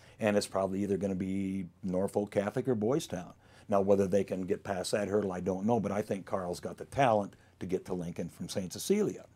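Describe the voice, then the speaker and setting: A man's dark, mellow tone sits at a fairly low pitch in a very clean recording with a silent background. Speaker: high school football stats keeper and groundskeeper. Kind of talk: casual chat. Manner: fast; animated.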